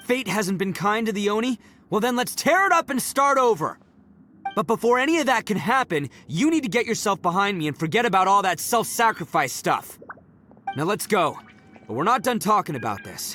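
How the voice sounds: A put-on character voice with big swings in pitch and a bright, sharp tone moves at a moderate pace over faint background music. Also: man, high pitch for a man.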